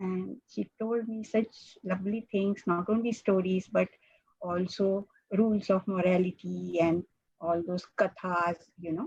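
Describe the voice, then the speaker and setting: A woman's somewhat breathy, medium-pitched voice, at a fairly slow pace with fairly even intonation. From India, Mumbai. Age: 70s. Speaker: mathematician. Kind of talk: invited talk. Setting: video call. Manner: halting.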